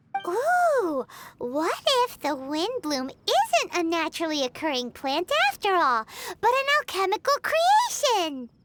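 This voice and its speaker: An extremely high put-on character voice moves at a fairly slow pace with very wide pitch swings. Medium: video game. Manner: bright, excitable.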